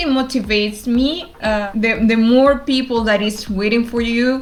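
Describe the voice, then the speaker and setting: Noticeable background noise and audible room echo surround this recording. A woman with a fairly high pitch speaks at a fairly slow pace. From Argentina. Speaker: developer advocate. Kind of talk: interview.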